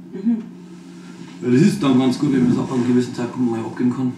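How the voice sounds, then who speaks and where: A man with a Bavarian accent at a very fast pace amid noticeable background noise. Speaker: rapper. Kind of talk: interview answer.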